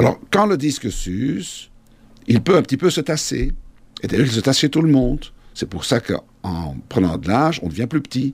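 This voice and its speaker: At a moderate pace, a man talks with vocal fry. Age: 50s. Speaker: orthopedic surgeon. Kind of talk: explanatory interview.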